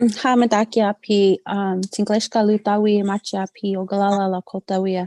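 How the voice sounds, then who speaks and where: A woman's dark, mellow voice with an American accent, medium in pitch, flat and monotone, at a moderate pace with a dry, close sound and no echo. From Denver, Colorado. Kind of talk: personal testimony in a live interview. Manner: halting.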